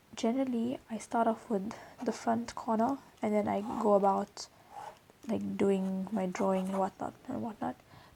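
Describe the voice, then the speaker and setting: Speaking at a fairly slow pace, a woman has a fairly high, somewhat breathy voice with a dark, mellow tone. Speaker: drawing tutor. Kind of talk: tutorial. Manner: casual.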